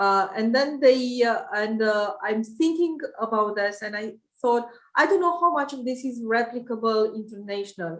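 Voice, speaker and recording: At a moderate pace, a woman speaks in a fairly high pitch with ordinary pitch variation and a Romanian accent. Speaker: private equity investor. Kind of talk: interview. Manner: halting, many fillers.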